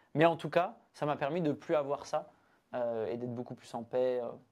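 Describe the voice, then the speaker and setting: A man talks at a fairly quick pace in a fairly high voice. His pitch varies in an ordinary way, and the background is quiet. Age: 20s. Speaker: breathwork practitioner and entrepreneur. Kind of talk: casual interview conversation. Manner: hesitant, many fillers.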